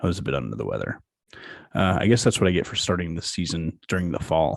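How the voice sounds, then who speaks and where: A man rattles along at a very fast pace in a very deep, low voice with vocal fry. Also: ordinary pitch variation. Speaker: podcast host. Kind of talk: podcast monologue.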